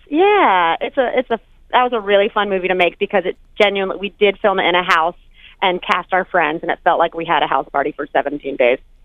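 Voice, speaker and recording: A woman's medium-pitched voice with an American accent, lively intonation and a very fast pace. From North Carolina. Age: 30s. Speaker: comedian and author. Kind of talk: radio interview. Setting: phone call. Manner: animated.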